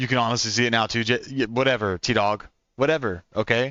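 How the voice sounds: A man speaks at a fairly quick pace with a medium pitch and a slight Oklahoma accent. His intonation stays fairly even, and his tone is bright and sharp. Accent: American, light Oklahoma country twang.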